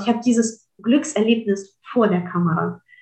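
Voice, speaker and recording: The woman's pitch moves with ordinary variation. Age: 30s. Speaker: physicist and creativity coach. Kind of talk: interview conversation. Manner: frequent hesitations.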